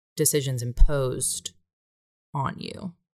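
This is a woman's voice. Her pitch sits very deep and low. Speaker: podcast host. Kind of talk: casual conversation.

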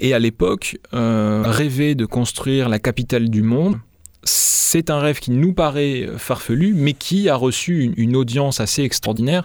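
This man speaks rather slowly. His voice sits at a middle pitch and varies in the usual way. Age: 30s. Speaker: investigative journalist and author. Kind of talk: interview. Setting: studio. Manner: halting, frequent repetitions.

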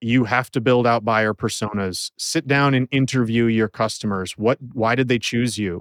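Speaking at medium pitch with an American accent, a man keeps a moderate pace, hardly any pauses and fairly even intonation. The sound is dry and close with no echo, on a very clean recording with a silent background. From Minnesota. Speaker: IT services company owner. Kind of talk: interview. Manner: direct.

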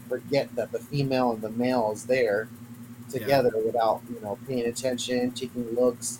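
A man talks at a medium pace while noticeable noise runs in the background. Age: 30s. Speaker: reptile keeper and breeder. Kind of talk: casual chat.

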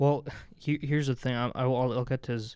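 A man's normal speaking voice at medium pitch, fairly quick pace, very clean recording with a silent background. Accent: American. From northern New Jersey. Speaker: student podcast co-host. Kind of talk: casual sports chat. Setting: studio.

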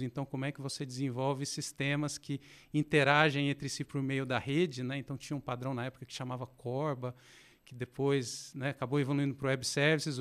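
Against a silent background on a very clean recording, a man speaks at a fairly quick pace in a fairly high pitch with monotone, flat intonation. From Brazil, interior of Minas Gerais (Passos). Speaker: fintech product executive. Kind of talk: interview conversation. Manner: halting, many fillers.

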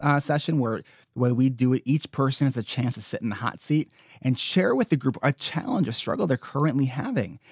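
Recorded dry and close with no echo, a man speaks in an ordinary speaking voice with ordinary pitch variation. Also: very clean recording, silent background. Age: 30s. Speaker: therapist, coach and podcaster. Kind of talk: casual interview.

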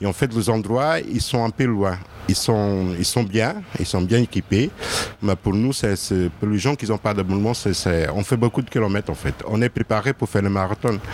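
Moderate pace from a man with a fairly low pitch, over noticeable background noise. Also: ordinary pitch variation. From Portugal. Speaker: person in precarity, restaurant user. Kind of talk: testimony. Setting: outdoors under a tent.

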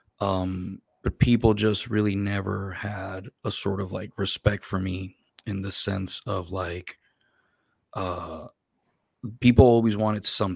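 A man with a Spanish accent speaks at a fairly slow pace in a fairly low pitch with monotone, flat intonation. The recording is very clean, with a silent background. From Puerto Rico. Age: 30s. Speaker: army veteran and interpreter. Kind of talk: interview. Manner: casual, laughs often.

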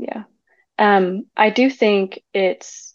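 A woman with an American accent uses an ordinary speaking voice at medium pitch and fairly even intonation, recorded dry and close with no echo against a quiet background. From Texas, suburban. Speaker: urban planner. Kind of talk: casual chat.

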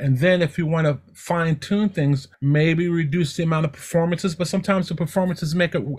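This is an ordinary speaking voice with ordinary pitch variation, captured in a very clean recording against a silent background. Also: man. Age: 60s. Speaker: television technical director. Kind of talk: casual chat.

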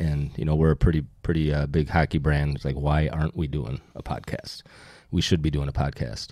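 A man speaks with an American accent at a moderate pace. His pitch is very deep and low, and the sound is dry and close with no echo. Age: 50s. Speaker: hockey publication owner. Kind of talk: casual chat.

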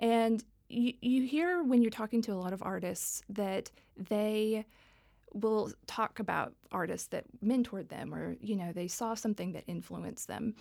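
On a very clean recording with a silent background, a woman with an American accent speaks fairly slowly in a fairly high pitch, with a dark, mellow tone and ordinary pitch variation. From Texas (Dallas). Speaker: tech policy executive. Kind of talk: interview.

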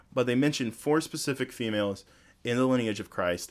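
A man speaks in a normal speaking voice at a fairly quick pace. The recording is very clean, with a silent background. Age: 20s. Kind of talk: casual chat.

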